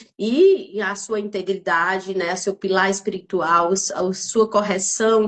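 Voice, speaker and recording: A woman with a northeastern Brazilian accent, medium in pitch, at a very slow pace with fairly even intonation. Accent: noticeable northeastern Brazilian. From Northeast Brazil, Piauí. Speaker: lawyer and mentor hosting a live stream. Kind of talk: live-stream interview introduction. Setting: live stream from Buenos Aires. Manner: hesitant, many fillers.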